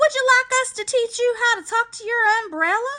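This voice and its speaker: An extremely high, squeaky put-on character voice from a woman, moderate in pace, with big swings in loudness. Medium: read story. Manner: fussy, prim.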